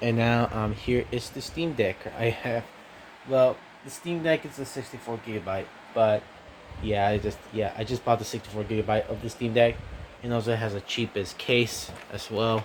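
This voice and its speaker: A man speaks quietly. His pace is moderate. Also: medium pitch for a man, fairly even intonation. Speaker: gaming YouTuber. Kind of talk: casual vlog. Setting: at home at night. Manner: talking quietly; halting, many fillers.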